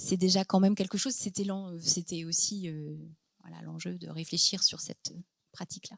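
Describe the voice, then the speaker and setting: In a Parisian accent, a woman at medium pitch with ordinary pitch variation sounds dry and close with no echo, on a very clean recording with a silent background. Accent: sounds like a Parisian. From France (born in Lebanon, came as a baby). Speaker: psychologist and author. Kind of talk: Q&A after a book talk. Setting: conference hall with audience. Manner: hesitant, many fillers.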